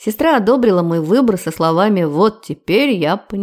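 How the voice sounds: In a natural reading voice, the intonation stays lively throughout.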